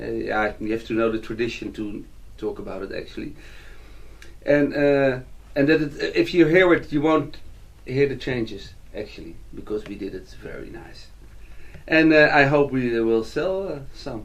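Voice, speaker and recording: The speaker has a Dutch accent and a moderate pace, with long, frequent pauses. Loudness swings widely, and audible room echo is present. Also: man. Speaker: musician and composer. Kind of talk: interview. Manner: halting.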